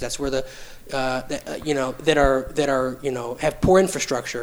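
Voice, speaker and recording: A man's fairly quick talking comes through noticeable background noise. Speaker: podcast co-host. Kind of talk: casual chat. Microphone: poor mic picking up breath and pops.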